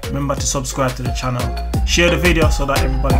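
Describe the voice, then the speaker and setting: The speech moves at a very fast pace. Loud music plays in the background. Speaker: vlogger. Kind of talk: casual vlog chat. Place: shop. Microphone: phone near.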